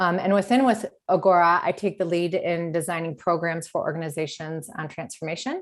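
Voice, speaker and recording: A woman with an American accent talks at a fairly quick pace with hardly any pauses, in a normal speaking voice, fairly low in pitch, with ordinary pitch variation. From US Midwest, Detroit, Michigan. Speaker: leadership coach. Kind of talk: webinar talk.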